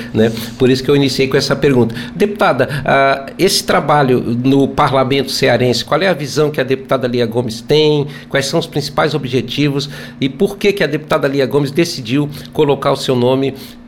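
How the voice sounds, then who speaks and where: Noticeable background noise runs behind a man whose fairly high voice keeps very even loudness, ordinary pitch variation and a moderate pace. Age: 60s. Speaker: radio host and journalist. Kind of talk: radio interview. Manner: formal.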